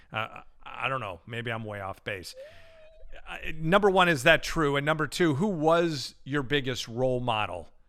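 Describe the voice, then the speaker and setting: A man at a medium pitch and moderate pace, with very wide pitch swings, big swings in loudness and noticeable background noise. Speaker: podcast host, network broadcaster. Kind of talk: interview question.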